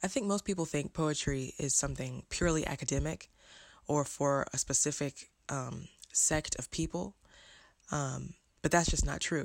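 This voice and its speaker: Vocal fry and ordinary pitch variation run through speech broken by long, frequent pauses. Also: woman, very deep, low pitch for a woman, moderate pace, very clean recording, silent background. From Birmingham, Alabama. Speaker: poet and teacher. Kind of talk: interview monologue.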